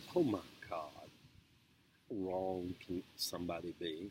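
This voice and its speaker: Male speaker with a Southern US accent. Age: 60s. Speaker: video blogger. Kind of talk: casual monologue. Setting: outdoors.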